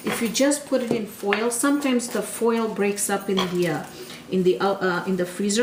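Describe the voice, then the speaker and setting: A woman's medium-pitched voice at a fairly slow pace, with audible room echo and noticeable background noise. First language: Gujarati. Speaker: cooking channel host. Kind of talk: cooking tutorial. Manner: casual, repetitive with fillers.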